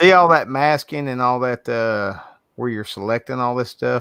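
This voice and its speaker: A man speaks in a Southern US accent with a bright, sharp tone. His pitch varies in an ordinary way, and the sound is dry and close with no echo. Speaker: livestreaming artist. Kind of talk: casual chat.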